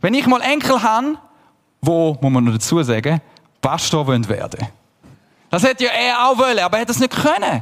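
A man speaks in a high pitch with an animated tone and very wide pitch swings. His loudness stays very even, broken by long, frequent pauses. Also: fairly quick pace. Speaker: pastor. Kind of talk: sermon.

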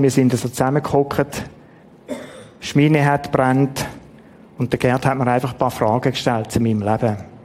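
A man with a Swiss accent talks at a medium pitch with fairly even intonation. He leaves long, frequent pauses, and there is noticeable background noise. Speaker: preacher. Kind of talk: sermon. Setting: church.

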